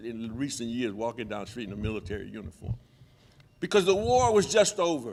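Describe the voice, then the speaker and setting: Using very wide pitch swings, a man with an American accent talks at a fairly quick pace. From Oakland, California (from age two). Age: 70s. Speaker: former city council member. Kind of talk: panel talk. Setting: gallery event with audience.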